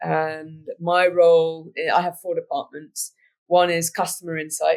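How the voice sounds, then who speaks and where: In a British accent, a woman talks with a fairly low pitch. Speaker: business executive. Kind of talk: interview.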